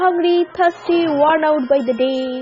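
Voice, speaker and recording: A woman speaks very slowly in a high pitch with lively intonation. Music sits in the background. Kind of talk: poetry reading.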